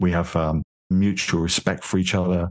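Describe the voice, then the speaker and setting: A speaker with a London accent talks at a moderate pace in a monotone, flat intonation. The background is quiet. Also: man. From London, England. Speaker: beverage company founder. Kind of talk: interview conversation.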